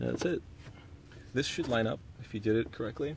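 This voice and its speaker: Over noticeable background noise, a man speaks at a fairly low pitch with lively intonation. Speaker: car DIY video maker. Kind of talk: tutorial. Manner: fast; casual.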